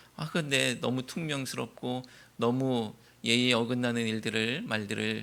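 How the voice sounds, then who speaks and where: Ordinary pitch variation marks this man's bright, sharp-toned voice. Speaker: pastor. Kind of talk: sermon. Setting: church. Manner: curt, stiff way of talking.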